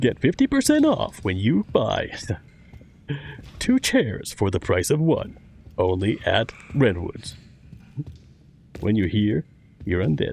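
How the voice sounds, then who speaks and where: This man puts on a character voice, talking at a fairly slow pace and leaving long, frequent pauses. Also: medium pitch for a man. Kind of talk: advertising pitch. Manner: cheesy, salesy, upbeat.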